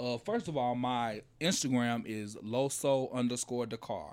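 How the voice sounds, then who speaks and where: A man with a medium-pitched voice talks with fairly even intonation in an ordinary speaking voice, on a very clean recording with a silent background. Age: 30s. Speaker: music compilation producer. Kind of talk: casual chat. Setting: studio.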